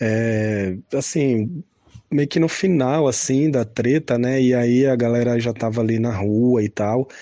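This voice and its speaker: Slow-paced and very even in loudness, a man speaks in a dark, mellow tone. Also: medium pitch for a man, ordinary pitch variation. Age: 30s. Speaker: harm reduction worker. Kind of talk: testimony. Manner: hesitant, many fillers.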